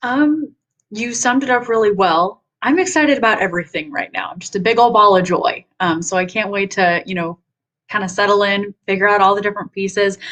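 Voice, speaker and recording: Fairly quick speech from a woman, mid-range in pitch, with an ordinary amount of pitch movement. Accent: American. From Nashville, Tennessee, US South. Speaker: online community director. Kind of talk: casual self-introduction.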